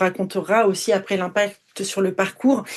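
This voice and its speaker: The woman's voice has a medium pitch. Her intonation stays monotone and flat. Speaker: podcast host. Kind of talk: interview. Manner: halting, stammering.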